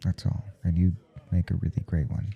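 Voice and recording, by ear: A man puts on a character voice at a low pitch, with a husky, rough edge and vocal fry. He keeps a moderate pace with little pitch movement.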